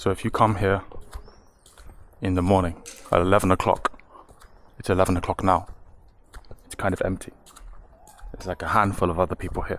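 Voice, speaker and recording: A man with a very deep, low voice talks in a flat monotone at a very fast clip, broken by long, frequent pauses, his loudness swinging widely over noticeable background noise. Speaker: travel vlogger. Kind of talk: travel vlog. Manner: quiet; halting.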